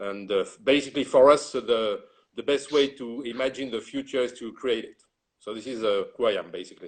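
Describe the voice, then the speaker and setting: A man with a French accent speaks at a fairly quick pace and medium pitch. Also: ordinary pitch variation, big swings in loudness. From France. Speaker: retail executive and consultant. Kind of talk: interview.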